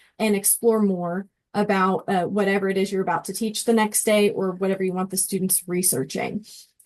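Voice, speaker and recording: A woman's unremarkable speaking voice at medium pitch, fairly quick pace and fairly even intonation, over a quiet background. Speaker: education technology trainer. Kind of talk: tutorial presentation.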